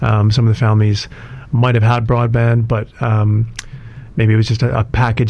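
A man with a Canadian accent talks at a very fast pace and a medium pitch. Noticeable background noise runs underneath. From Canada, Alberta. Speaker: IT specialist and entrepreneur. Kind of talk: radio interview. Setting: radio studio.

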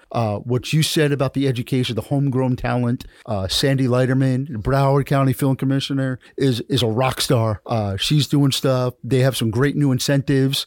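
An unremarkable speaking voice with an American accent, moderate pace, hardly any pauses, fairly even intonation and very even loudness, in a dry, close sound with no echo. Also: man, medium pitch for a man. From New Jersey. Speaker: podcast host and filmmaker. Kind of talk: casual chat.

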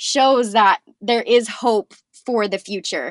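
A woman's fairly high-pitched voice at a very slow pace, with a dry, close sound with no echo. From Northern California, US. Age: 20s. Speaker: patient advocate. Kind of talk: interview.

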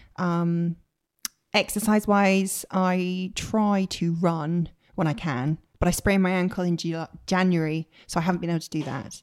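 With a West Country accent, a woman talks at a moderate pace, her fairly low voice held to fairly even intonation. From Bristol, West Country England. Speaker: professional violinist. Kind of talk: casual interview chat.

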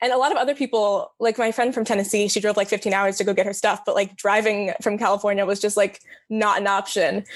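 A woman with an American accent rattles off words at a very fast pace with hardly any pauses, keeping a medium pitch, flat monotone intonation and very even loudness. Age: 20s. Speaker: college student. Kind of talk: casual interview.

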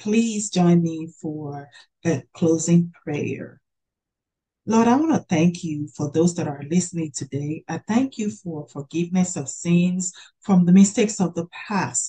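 Fairly slow and somewhat breathy, a woman's dark, mellow voice sits fairly low, with ordinary pitch variation. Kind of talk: hosted panel discussion ending in prayer. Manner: warm, encouraging.

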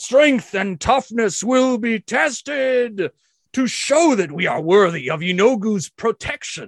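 Using a put-on character voice, a man speaks with a high pitch. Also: fairly slow pace. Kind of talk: ritual sermon. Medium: actual play. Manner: fervent, rousing, call and response.

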